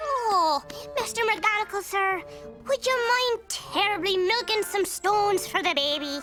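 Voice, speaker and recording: Over clear music in the background, a cartoonish character voice, female-sounding and extremely high in pitch, moves at a moderate pace. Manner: sly, mock-innocent.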